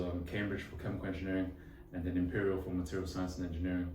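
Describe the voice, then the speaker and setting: Someone with a London accent speaks amid audible room echo. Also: man. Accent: decent London. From London, England. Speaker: engineering student. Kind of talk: casual interview. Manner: casual, with many fillers.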